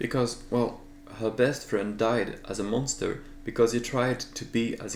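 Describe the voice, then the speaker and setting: With a French accent, a man speaks at a moderate pace and medium pitch, with audible room echo around him. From France. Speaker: artist and video creator. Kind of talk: casual vlog narration.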